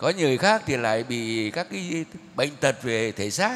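A man is heard here. His pace is very slow. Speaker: priest. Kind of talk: sermon. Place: church. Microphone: podium.

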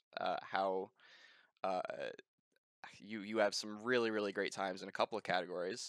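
A man's low-pitched voice, clear, smooth and fairly bright, in a dry, close sound with no echo

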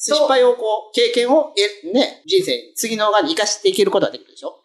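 A man's extremely high voice in a Tosa accent, very fast, with very wide pitch swings. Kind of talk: casual radio-style talk.

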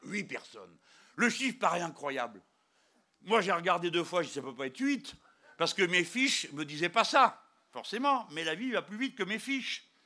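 A man's raised, projected voice at a moderate pace, with very wide pitch swings over a quiet background. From France. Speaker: politician. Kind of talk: political rally speech. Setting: outdoors or hall rally, live crowd. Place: hall. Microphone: handheld.

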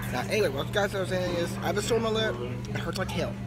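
A man talks at a fairly quick pace in a dry sound with no echo, with clear music in the background. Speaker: vlogger. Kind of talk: casual vlog chat. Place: cafe. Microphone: phone near.

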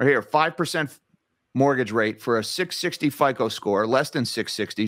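This man has a New Jersey accent and a medium pitch with ordinary pitch variation. He speaks at a fairly slow pace against a quiet background. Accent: New Jersey American. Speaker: finance YouTuber. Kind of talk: interview. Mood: concerned, critical. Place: home room.

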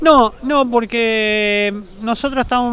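With light background noise, a man speaks in fairly even intonation, the sound dry with no echo. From Argentina. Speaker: rowing club member and nautical course organizer. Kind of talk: interview. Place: street. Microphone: handheld.

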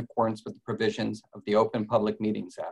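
In quiet surroundings, a man is talking. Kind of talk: formal meeting opening statement. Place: home room. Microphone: video call.

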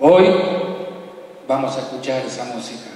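A man talks at a very slow pace with ordinary pitch variation. Strong room echo fills the recording. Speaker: program host. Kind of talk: solemn spoken introduction. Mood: calm, reverent, poetic.

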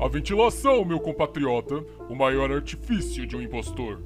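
A man speaks at a moderate pace. Music plays clearly in the background. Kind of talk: exaggerated aristocratic formality. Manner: pompous, smug, theatrical.

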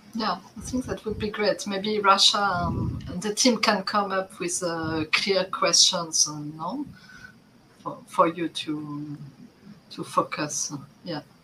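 The speech moves at a very slow pace, with big swings in loudness and ordinary pitch variation. Noticeable background noise runs underneath. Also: woman, medium pitch for a woman. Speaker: development agency staff. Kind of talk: work meeting. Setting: video call.

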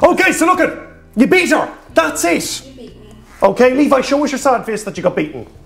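Extremely high in pitch, the man's voice moves in very wide pitch swings. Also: moderate pace. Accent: Irish. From Ireland. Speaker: YouTuber comedian. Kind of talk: casual banter. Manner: animated, jokey. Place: home room.

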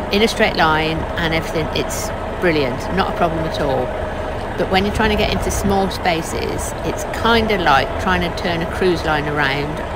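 Speech moves at a moderate pace. The sound is dry with no echo, under loud background noise. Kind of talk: casual vlog chat. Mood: mildly frustrated, patient. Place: car.

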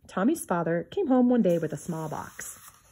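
The voice is somewhat breathy and moves at a moderate pace. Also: woman. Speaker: reader of a children's book. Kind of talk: reading aloud a 1950s children's picture book. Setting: home video recording, book shown to camera. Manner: measured, clear pacing suited to children. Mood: gentle storytelling tone. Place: home room. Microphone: phone near.

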